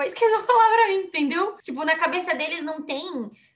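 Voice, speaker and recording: In an animated tone, a woman talks at a very fast pace with an extremely high pitch and very wide pitch swings. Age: 30s. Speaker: podcast co-host. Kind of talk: casual chat.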